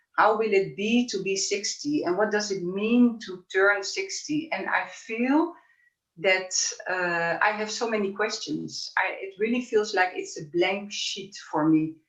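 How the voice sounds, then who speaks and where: A woman's unremarkable speaking voice at medium pitch, with ordinary pitch variation and a fairly slow pace. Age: 50s. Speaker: women's wisdom speaker. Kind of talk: interview conversation.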